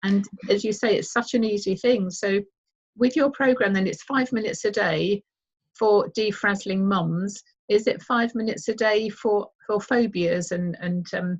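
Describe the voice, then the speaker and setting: Her voice somewhat breathy, a woman speaks at a moderate pace with medium pitch and ordinary pitch variation. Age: 60s. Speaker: radio health show host. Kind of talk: radio interview.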